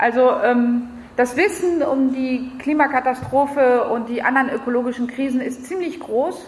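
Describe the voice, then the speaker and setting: A woman talks at a high pitch and a moderate pace with ordinary pitch variation. Audible room echo and noticeable background noise surround her. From France. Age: 40s. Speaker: environmental activist. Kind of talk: lecture.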